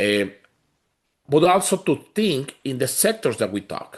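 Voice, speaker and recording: In a quiet background, a man with a Spanish accent talks at a moderate pace. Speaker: community organization leader. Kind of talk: town hall panel discussion.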